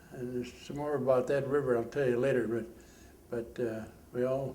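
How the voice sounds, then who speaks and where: At a moderate pace and medium pitch, a man talks in a flat, monotone way. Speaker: war veteran. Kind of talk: interview answer. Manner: hesitant, halting.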